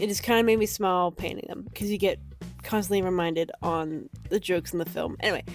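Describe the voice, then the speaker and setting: A woman talks at a very fast pace with a medium pitch. Her pitch varies in an ordinary way, and music plays in the background. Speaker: painter, art student. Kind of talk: casual voiceover for painting video. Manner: chatty, casual.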